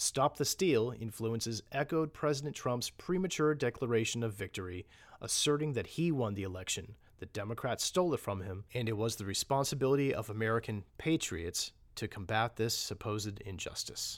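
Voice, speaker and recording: Over a very clean recording with a silent background, a man with an ordinary speaking voice talks at a medium pitch and a fairly quick pace, with lively intonation. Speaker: narrator reading report aloud. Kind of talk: formal newsreading of a government report. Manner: formal, measured, steady and authoritative.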